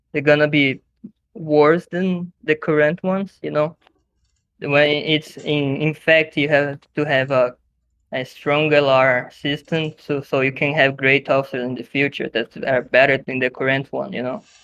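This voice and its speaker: The speaker has a Brazilian Portuguese accent. The pace is fairly slow. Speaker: podcast guest, online gaming group member. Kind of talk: casual chat. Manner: halting, many fillers and restarts.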